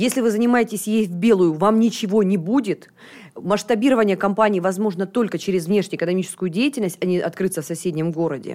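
The voice has a dark, mellow tone, moves at a very fast pace, and keeps its loudness very even. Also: woman, medium pitch for a woman, ordinary pitch variation. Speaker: foreign trade expert and entrepreneur. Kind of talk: radio interview. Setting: studio. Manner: energetic.

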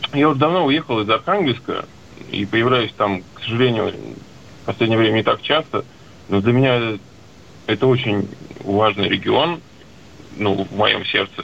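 A man at medium pitch and moderate pace, ordinary pitch variation, long and frequent pauses, and noticeable background noise. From Arkhangelsk, northern Russia. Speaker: caller. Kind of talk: call-in question.

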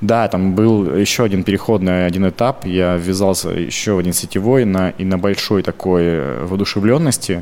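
Hardly pausing, a man with a very deep, low voice speaks at a moderate pace with ordinary pitch variation. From Russia, Krasnoyarsk Krai (Zheleznogorsk). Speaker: entrepreneur. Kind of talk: podcast interview.

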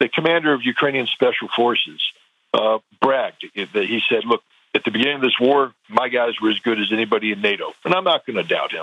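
A man's speech runs fairly quickly, and his pitch varies in an ordinary way. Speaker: former weapons inspector. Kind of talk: interview. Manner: halting.

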